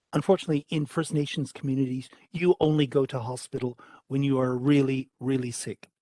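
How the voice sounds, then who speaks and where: With a Canadian accent, a man talks at a fairly quick pace in a dark, mellow tone with fairly even intonation, the sound dry and close with no echo. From Canada. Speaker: state politician on parliamentary committee. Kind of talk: parliamentary committee questioning. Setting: parliamentary public hearing.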